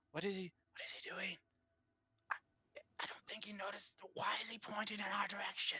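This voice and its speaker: Someone whispers in a put-on character voice at a fairly quick pace. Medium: actual play.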